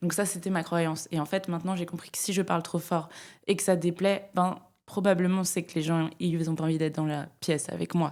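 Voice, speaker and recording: This recording is very clean and the background silent. The woman talks fairly quickly. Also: fairly low pitch for a woman. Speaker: climate media founder and speaker. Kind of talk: interview conversation. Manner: loud; hesitant, many fillers.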